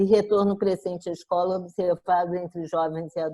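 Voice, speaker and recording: A woman speaks in a plain, everyday voice, fairly low in pitch with fairly even intonation. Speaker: professor of education. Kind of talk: lecture.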